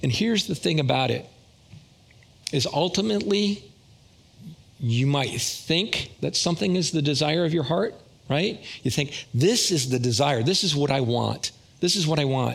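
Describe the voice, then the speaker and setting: A man speaks at a moderate pace in a somewhat breathy voice with lively intonation, very even loudness and long, frequent pauses. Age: 60s. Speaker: lay preacher. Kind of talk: sermon. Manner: casual.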